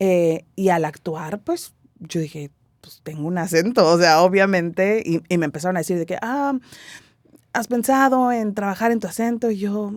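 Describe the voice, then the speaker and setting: With a normal speaking voice and medium pitch, a woman talks at a fairly slow pace with lively intonation. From Mexico City. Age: 30s. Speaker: stage actress. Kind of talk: interview. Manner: casual, conversational.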